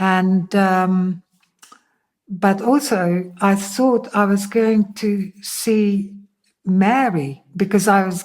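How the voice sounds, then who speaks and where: She speaks at a very slow pace with a Dutch accent. Her pitch is medium for a woman, with ordinary variation. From Netherlands. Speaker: interviewee sharing faith testimony. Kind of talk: testimony. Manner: hesitant, many fillers.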